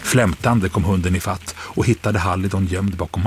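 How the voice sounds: Read in a natural reading voice, the passage keeps a fairly even intonation.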